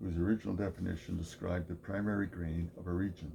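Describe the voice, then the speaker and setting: A very deep, low-pitched male voice, dark and mellow in tone, somewhat breathy, with fairly even intonation and a fairly quick pace. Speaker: video essayist. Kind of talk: scripted narration. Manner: monotone.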